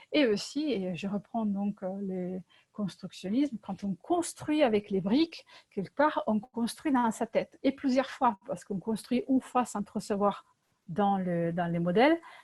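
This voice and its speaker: The delivery is somewhat breathy and fairly slow, recorded with a dry, close sound and no echo. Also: woman, medium pitch for a woman. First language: Italian (speaking French). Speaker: LEGO workshop facilitator. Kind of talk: presentation. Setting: video call. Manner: hesitant, many fillers.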